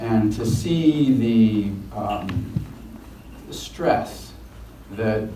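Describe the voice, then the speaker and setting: Audible room echo surrounds a man speaking at a fairly low pitch with a General American accent. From Washington DC. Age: 60s. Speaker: son of a public official. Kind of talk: interview. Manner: halting.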